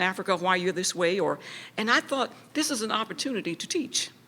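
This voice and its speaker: A woman's medium-pitched voice with a bright, sharp tone, at a fairly quick pace. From US South. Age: 70s. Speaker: composer. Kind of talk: lecture.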